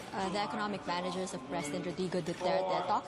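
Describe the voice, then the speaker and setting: A woman speaking at a very fast pace over loud background noise. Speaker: news reporter. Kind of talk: live news report. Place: hall.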